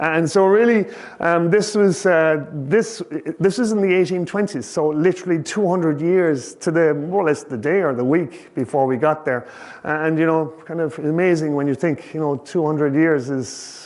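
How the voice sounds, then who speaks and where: A fairly high-pitched man with a Kerry accent, at a moderate pace with ordinary pitch variation. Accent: Irish (Kerry). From Ireland, County Kerry. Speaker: professional ocean sailor and author. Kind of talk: public talk to an audience. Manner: casual, hesitant, many fillers.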